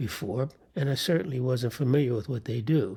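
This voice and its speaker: A man's voice sits at medium pitch, somewhat breathy, with a dark, mellow tone. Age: 80s+. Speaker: cancer survivor sharing his story. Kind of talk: personal testimony monologue. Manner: measured, with hesitations.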